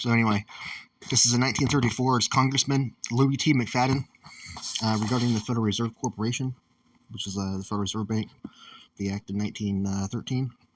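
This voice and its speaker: A man mumbles at a very fast pace in a medium pitch, with fairly even intonation and long, frequent pauses. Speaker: amateur reader. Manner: mumbling.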